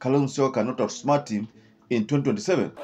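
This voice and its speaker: Over light background noise, a man speaks at a fairly high pitch. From Kenya. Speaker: political commentator. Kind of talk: scripted-style political commentary. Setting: online video. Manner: halting, filler-heavy. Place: studio. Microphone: studio mic.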